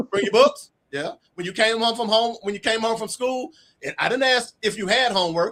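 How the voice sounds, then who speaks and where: Pitched high, a man speaks at a fairly quick pace with ordinary pitch variation. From US South (Arkansas). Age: 60s. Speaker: author. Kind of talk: interview storytelling.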